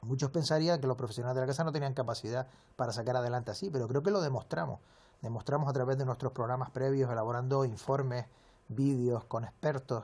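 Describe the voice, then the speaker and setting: Speech comes at a very fast pace in a somewhat breathy voice with a Canarian accent. The pitch variation is ordinary. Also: man, medium pitch for a man. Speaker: sports journalist. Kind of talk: interview.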